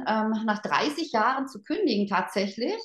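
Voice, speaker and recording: A somewhat breathy woman speaks at a fairly slow pace with lively intonation. The background is quiet, though the room echo is audible. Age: 50s. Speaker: network marketing team leader; guest, sales leader. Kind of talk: motivational talk. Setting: online event. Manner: animated. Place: home room. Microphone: video call.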